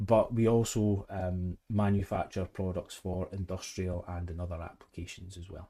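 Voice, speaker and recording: With a Scottish accent, a man talks in a very deep, low, dark and mellow voice, flat and monotone in intonation, with big swings in loudness and hardly any pauses. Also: moderate pace. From Scotland. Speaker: head of service at a manufacturer. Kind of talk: podcast interview.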